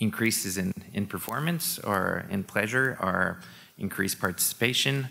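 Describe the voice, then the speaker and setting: Speaking at a fairly slow pace, a man shows vocal fry and a bright, sharp tone at a fairly low pitch. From Quebec, Montreal. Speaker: sport scientist. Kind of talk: conference talk. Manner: hesitant, many fillers.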